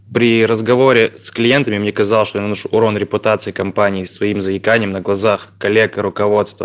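A man talks at a very fast pace in a fairly low voice. His intonation stays monotone and flat. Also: quiet background. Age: 20s. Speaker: podcast listener. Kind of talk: recorded voice message question.

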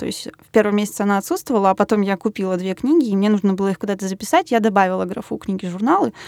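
Recorded very cleanly against a silent background, a woman talks at a very fast pace in a fairly high pitch with a dry, close sound and no echo. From Russia, Yaroslavl. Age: 20s. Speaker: designer. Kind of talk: interview.

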